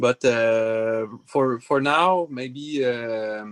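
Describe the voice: A man at a very slow pace, with a clear, smooth tone, ordinary pitch variation and a dry, close sound with no echo. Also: medium pitch for a man.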